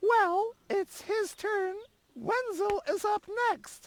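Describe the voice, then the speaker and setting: Using a put-on character voice, a woman speaks very slowly in a squeaky, extremely high pitch with ordinary pitch variation, the sound dry and close with no echo. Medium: video game. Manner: catty, throat-clearing.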